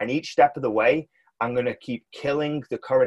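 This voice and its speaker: A man with a British accent at a fairly quick pace, the sound dry and close with no echo. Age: 30s. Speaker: business coach for fitness professionals. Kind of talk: casual interview. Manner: animated.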